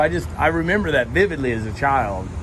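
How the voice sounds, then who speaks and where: Amid noticeable background noise and audible room echo, a man speaks with a Texan accent. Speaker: interviewer. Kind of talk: casual interview chat. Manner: enthusiastic.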